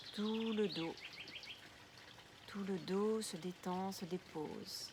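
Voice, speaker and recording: Very slow and calm, this soothing voice speaks in a flat monotone over noticeable background noise. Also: woman. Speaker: yoga nidra guide. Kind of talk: guided relaxation session. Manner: slow, calm, soothing.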